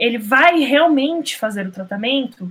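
Talking fairly slowly, the woman keeps her voice high. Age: 20s. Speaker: master's student in computer science. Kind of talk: interview.

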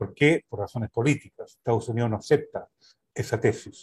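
At a fairly quick pace, a man talks in a somewhat breathy voice at medium pitch. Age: 70s. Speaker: sociologist and UN official. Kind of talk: political analysis discussion.

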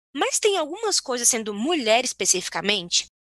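Her voice raised and projected, a woman is heard in a dry, close sound with no echo. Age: 20s. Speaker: podcast co-host. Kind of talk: casual chat. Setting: video call.

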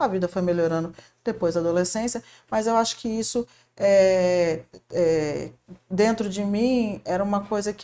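A woman speaks with a dark, mellow tone at medium pitch. Her pace is fairly slow, with ordinary pitch variation. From Paraná, southern Brazil. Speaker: shopping mall marketing manager. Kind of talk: podcast interview.

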